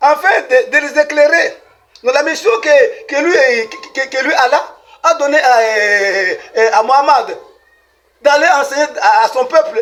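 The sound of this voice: Extremely high in pitch, a man speaks with a bright, sharp tone.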